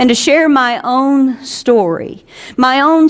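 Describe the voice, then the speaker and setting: A woman speaks with an Alabama accent. Her pace is very slow. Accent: Southern US (Alabama). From US South, South Alabama. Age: 60s. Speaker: pastor. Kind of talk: sermon.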